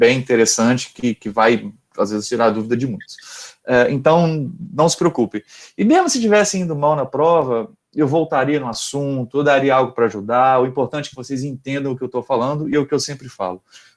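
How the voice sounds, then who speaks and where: With ordinary pitch variation, a medium-pitched man speaks at a fairly quick pace. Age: 30s. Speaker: university lecturer. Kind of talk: lecture. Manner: fast; halting.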